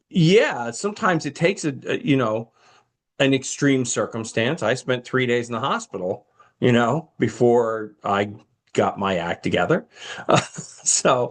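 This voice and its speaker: Here a man has a plain, everyday voice at a medium pitch. He speaks at a fairly slow pace with lively intonation. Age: 60s. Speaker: pastor and podcast co-host. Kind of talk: casual chat about a film.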